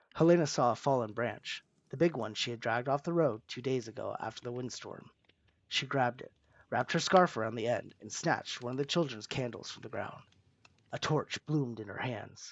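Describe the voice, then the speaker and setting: A man speaks at a fairly quick pace in a normal speaking voice, medium in pitch, with ordinary pitch variation and big swings in loudness. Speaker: storyteller. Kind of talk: reading aloud. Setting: live stream.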